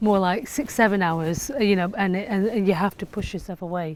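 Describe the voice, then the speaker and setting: Noticeable background noise behind a woman's moderate pace and ordinary pitch variation. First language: not English. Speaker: sculptor. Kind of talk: interview monologue about own work. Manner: hesitant, with fillers and restarts.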